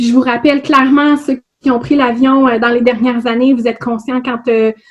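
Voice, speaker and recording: A woman in a Quebec accent speaks at a high pitch with fairly even intonation. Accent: Québécois French. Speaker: HR consultant and trainer. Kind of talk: webinar presentation. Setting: online webinar.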